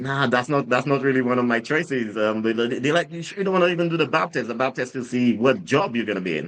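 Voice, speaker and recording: A man's fairly high-pitched voice with lively intonation. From Saint Lucia. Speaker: drinks brand founder, ex-soldier. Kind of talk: casual interview storytelling. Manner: halting, many repetitions and fillers.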